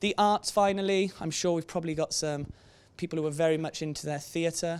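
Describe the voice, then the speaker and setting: A high-pitched man in a Welsh accent, fairly quick and with monotone, flat intonation. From Wales. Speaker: careers presenter, trainee barrister. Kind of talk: presentation to students. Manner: conversational, frequent 'okay?' tag.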